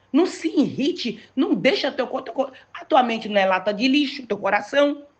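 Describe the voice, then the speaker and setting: With an animated tone, a woman speaks in very wide pitch swings. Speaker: pastor. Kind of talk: sermon.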